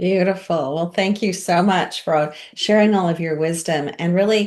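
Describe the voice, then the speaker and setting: Over a quiet background, a woman with fairly low pitch and an unremarkable speaking voice talks at a fairly slow pace with fairly even intonation. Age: 60s. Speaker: networking meeting host. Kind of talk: casual chat. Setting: video call.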